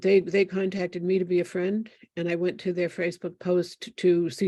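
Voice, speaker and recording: In an American accent, the speaker keeps a moderate pace over a quiet background. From US Northeast, Boston area. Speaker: workshop participant, aspiring author. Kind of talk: casual group discussion. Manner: halting, many fillers.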